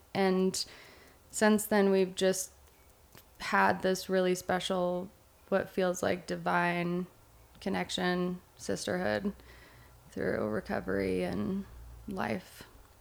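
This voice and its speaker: Very slow pacing marks this woman's speech, with long, frequent pauses. She has an American accent. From Oregon. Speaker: recovering addict, prevention worker. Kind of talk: casual chat.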